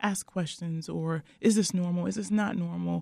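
At a moderate pace, the voice sounds somewhat breathy with a dark, mellow tone. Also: woman. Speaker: midwife. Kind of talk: radio interview.

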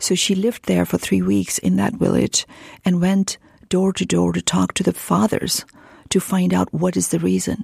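A woman speaks at a moderate pace in a very deep, low pitch with very wide pitch swings. The sound is dry and close, with no echo. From Pakistan. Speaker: charity founder. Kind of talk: interview.

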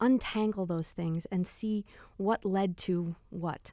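A woman's medium-pitched voice with a dark, mellow tone, dry and close with no echo. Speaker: architecture expert. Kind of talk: interview, explanatory. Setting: studio.

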